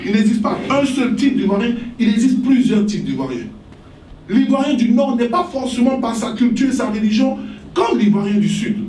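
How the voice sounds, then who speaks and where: Over light background noise and audible room echo, a man talks at a moderate pace in an extremely high pitch with ordinary pitch variation. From Côte d'Ivoire. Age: 40s. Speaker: politician and author. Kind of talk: interview about his book. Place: hall.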